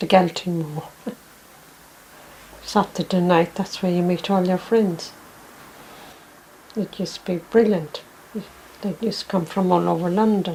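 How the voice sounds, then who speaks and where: With an Irish accent and medium pitch, a woman speaks at a moderate pace with fairly even intonation and long, frequent pauses, over noticeable background noise. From west of Ireland. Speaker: Irish emigrant. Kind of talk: reminiscence interview. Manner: halting.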